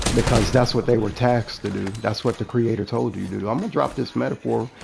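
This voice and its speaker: A very fast, animated delivery in an American accent, with noticeable background noise. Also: man. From US South, New Orleans. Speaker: gaming streamer. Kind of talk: casual monologue while gaming.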